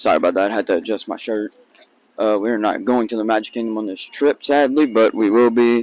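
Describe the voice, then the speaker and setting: A man talks quietly. His pitch sits in the medium range. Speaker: vlogger. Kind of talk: casual vlog talk. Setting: outdoors at theme park. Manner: speaks quietly.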